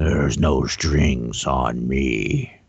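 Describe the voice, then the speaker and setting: In a put-on character voice, the man speaks with a very deep, low pitch. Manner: scary, menacing.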